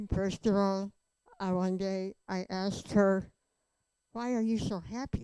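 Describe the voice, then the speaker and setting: The recording is dry and close with no echo, carrying a woman's medium-pitched voice with a dark, mellow tone. She speaks fairly slowly with fairly even intonation and long, frequent pauses. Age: 80s+. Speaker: conference speaker. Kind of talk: testimony.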